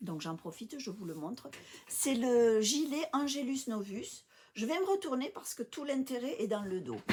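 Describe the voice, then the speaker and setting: A woman's high voice swings very widely in pitch. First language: English (speaking French). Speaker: knitting podcaster and English teacher. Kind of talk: casual video podcast chat. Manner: hesitant, many fillers.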